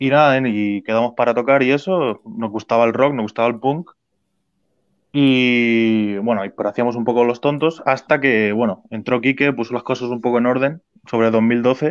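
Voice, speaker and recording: Against a quiet background, a man speaks at medium pitch and a moderate pace. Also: fairly even intonation. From Spain (Alicante). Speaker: punk rock bassist. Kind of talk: interview. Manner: halting.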